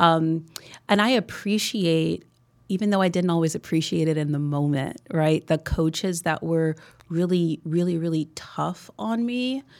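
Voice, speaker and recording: A woman's unremarkable speaking voice, fairly low and fairly slow, with ordinary pitch variation in a very clean recording against a silent background. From New Jersey, US. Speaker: business coach. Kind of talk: interview.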